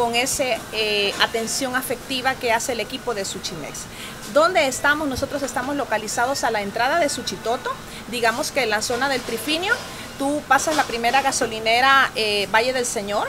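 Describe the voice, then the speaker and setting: Amid noticeable background noise, a woman speaks with a high pitch. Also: ordinary pitch variation, moderate pace. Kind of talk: promotional interview talk. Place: shop.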